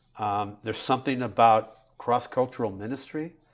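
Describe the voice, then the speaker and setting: A man talks at a moderate pace with fairly even intonation and a medium pitch, recorded very cleanly against a silent background. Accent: American. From Central California (Bakersfield). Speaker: pastor. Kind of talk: casual interview.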